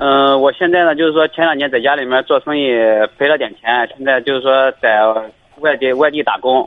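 Here is a man in an ordinary speaking voice, his pitch fairly high. He keeps a fairly quick pace and fairly even intonation. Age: 20s. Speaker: caller, migrant worker. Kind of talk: phone call-in. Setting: phone call.

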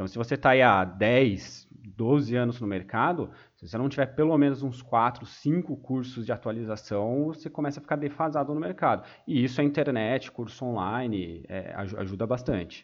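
With ordinary pitch variation, a plain, everyday voice keeps to a moderate pace. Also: man, medium pitch for a man. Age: 20s. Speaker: economist and project manager. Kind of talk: casual chat.

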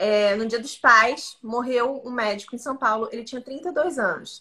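Here a woman speaks high in pitch with a bright, sharp tone. Her pitch varies in an ordinary way. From Santa Catarina, southern Brazil. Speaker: podcast co-host. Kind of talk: casual chat. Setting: live stream.

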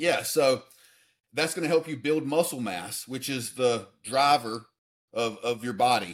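Recorded very cleanly with a silent background, a man with a normal speaking voice talks at a fairly slow pace, medium pitch and ordinary pitch variation. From US South, Alabama. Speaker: fitness coach and personal development advisor. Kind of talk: interview.

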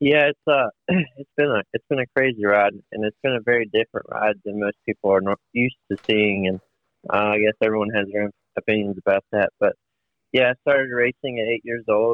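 Speaking at a fairly quick pace, a man has an unremarkable speaking voice at a medium pitch. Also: ordinary pitch variation. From Virginia. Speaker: racing driver. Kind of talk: interview. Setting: phone call.

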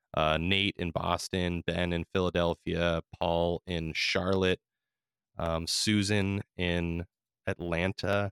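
In a very clean, dry, close recording with no echo and a silent background, a man with an American accent speaks at a very slow pace with a very deep, low pitch and monotone, flat intonation. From California. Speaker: podcast host. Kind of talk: casual chat.

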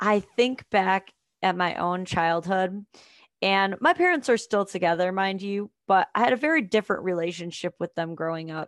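This woman's medium-pitched voice has an animated tone, ordinary pitch variation, and a moderate pace. The sound is dry and close with no echo, over a quiet background. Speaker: father's rights advocate. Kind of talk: casual interview chat. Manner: animated, laughs often.

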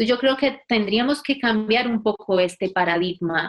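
A woman with a normal speaking voice talks at a moderate pace in a medium pitch. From Colombia, Valle del Cauca (Buga). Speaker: physiotherapist and researcher. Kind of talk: interview.

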